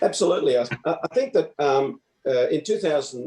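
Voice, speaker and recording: The voice is in an Australian accent. Its pace is moderate. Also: man. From Melbourne, Australia. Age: 70s. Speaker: retired doctor and preserving author. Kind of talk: interview. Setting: online event.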